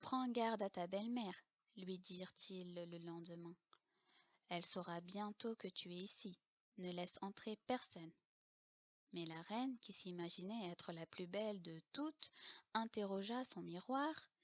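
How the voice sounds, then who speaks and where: At a fairly slow pace with long, frequent pauses, a woman speaks at medium pitch with ordinary pitch variation, the sound dry and close with no echo. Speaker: storyteller. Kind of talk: bedtime story reading.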